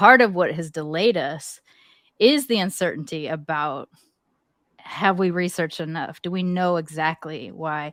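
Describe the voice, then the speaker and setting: Speaking slowly-ish in an American accent, a woman has a plain, everyday voice with fairly low pitch and ordinary pitch variation. The recording is very clean, with a silent background. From USA. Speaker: podcast co-host. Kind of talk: casual chat.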